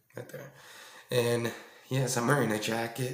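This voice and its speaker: A man at a medium pitch with monotone, flat intonation and audible room echo. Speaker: YouTube reaction creator. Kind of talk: casual video reaction commentary. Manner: hesitant, many ums.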